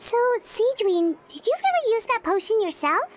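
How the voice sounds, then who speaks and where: A woman's squeaky, put-on character voice, extremely high in pitch, with lively intonation at a moderate pace. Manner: curious, questioning.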